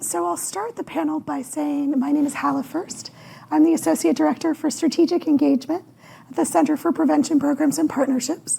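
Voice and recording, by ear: A woman performs a put-on character voice that is raspy, hoarse, and high-pitched. Her intonation is lively, and she moves at a fairly quick pace.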